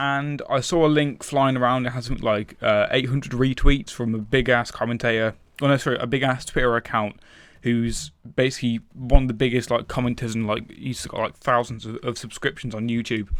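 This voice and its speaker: Recorded very cleanly with a silent background, a man with a British accent talks fairly quickly at a medium pitch with fairly even intonation. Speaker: gaming commentator. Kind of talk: gameplay commentary monologue. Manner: fast.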